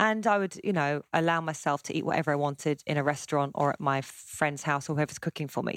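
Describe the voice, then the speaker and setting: A woman with an English accent and a very deep, low pitch talks at a very fast pace with ordinary pitch variation, heard dry and close with no echo on a very clean recording with a silent background. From South West London, England. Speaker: cookbook author and chef. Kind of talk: casual chat.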